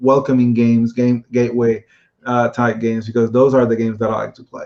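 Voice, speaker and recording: A man with a Spanish accent talks at a medium pitch in a monotone, flat intonation. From Puerto Rico. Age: 30s. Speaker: board game designer. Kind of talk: interview. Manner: halting, many fillers and repeats.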